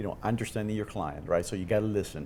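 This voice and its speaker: Talking at a very fast pace, a man with a Cuban accent has a fairly low pitch. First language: Spanish. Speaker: insurance executive. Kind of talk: podcast interview.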